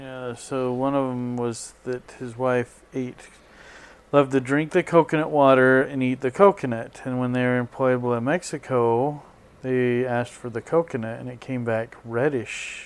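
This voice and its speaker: With an unremarkable speaking voice, a man talks at a medium pitch and moderate pace, keeping his intonation fairly even. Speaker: podcast co-host. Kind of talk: casual chat.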